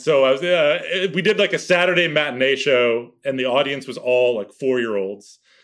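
A man with a fairly high pitch and lively intonation talks at a moderate pace with hardly any pauses, on a very clean recording with a silent background. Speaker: actor and impressionist. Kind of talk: casual chat. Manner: loud; animated.

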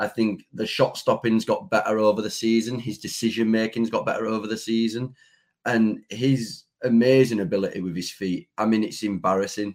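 In a very clean recording with a silent background, a man with an ordinary speaking voice talks at a fairly quick pace with medium pitch and fairly even intonation. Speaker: football fan podcaster. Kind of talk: casual chat.

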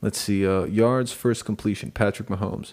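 A man with an unremarkable speaking voice, fairly low pitch, fairly even intonation and a moderate pace. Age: 30s. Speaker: podcast co-host. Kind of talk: casual chat.

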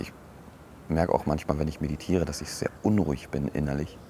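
Speaking at a moderate pace with fairly even intonation, a man has a very deep, low pitch amid noticeable background noise. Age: 30s. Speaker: podcaster, educator and DJ. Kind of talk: casual monologue. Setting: outdoors on a bench.

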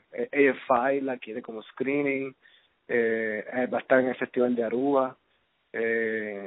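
Fairly slow, medium-pitched speech from a man, with ordinary pitch variation. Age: 30s. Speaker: filmmaker. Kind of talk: casual interview. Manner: halting, many fillers.

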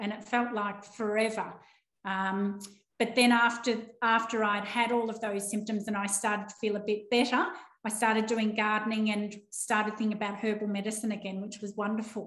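A woman's fairly high-pitched voice in an Australian accent, monotone with flat intonation, at a moderate pace with audible room echo. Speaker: animal naturopath. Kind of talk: interview. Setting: video call.

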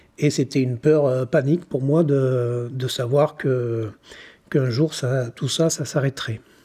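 A man's medium-pitched, somewhat breathy voice at a very slow pace, with fairly even intonation. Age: 50s. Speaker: shopkeeper turned energy healer. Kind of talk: personal testimony. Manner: halting, repeats words.

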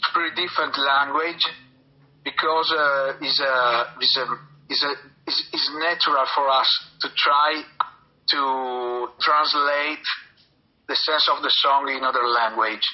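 A man's fairly high-pitched voice in an Italian accent, at a fairly slow pace with long, frequent pauses and fairly even intonation, amid noticeable background noise. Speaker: metal band musician. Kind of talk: interview. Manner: halting.

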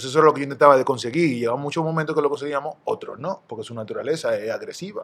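A man speaks at a very fast pace, with hardly any pauses and a fairly high pitch. His loudness swings widely, and there is noticeable background noise. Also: ordinary pitch variation. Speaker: retired basketball player. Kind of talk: casual interview.

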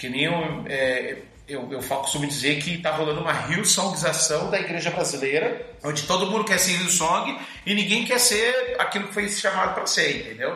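Through audible room echo and noticeable background noise, a man with a high pitch speaks at a moderate pace with lively intonation. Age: 40s. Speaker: musician and preacher. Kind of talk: casual interview chat.

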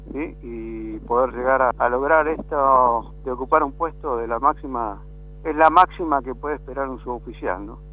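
At a moderate pace, a man speaks. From Patagonia, Argentina (Puerto Deseado, Santa Cruz). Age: 50s. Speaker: army non-commissioned officer. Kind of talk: radio interview.

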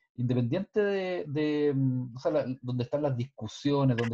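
A man speaks at a fairly slow pace and a medium pitch, his somewhat breathy voice dark and mellow in tone. The sound is dry and close, with no echo. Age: 40s. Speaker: podcast co-host. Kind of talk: casual panel discussion.

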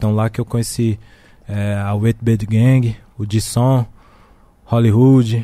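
Speaking very slowly with long, frequent pauses, a man uses a medium pitch, a flat monotone delivery and a dark, mellow tone. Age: 30s. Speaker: rapper. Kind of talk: casual chat.

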